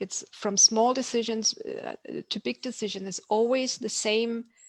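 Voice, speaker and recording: A woman with a German accent speaks with fairly even intonation, the sound dry and close with no echo. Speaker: emotional competence coach. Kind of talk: live online talk. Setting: live video call. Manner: halting.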